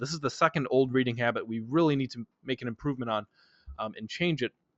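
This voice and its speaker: Very fast speech from a man, fairly high in pitch, with ordinary pitch variation. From Polish family, schooled in English. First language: Polish. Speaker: speed reading instructor. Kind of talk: webinar lecture. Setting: online webinar.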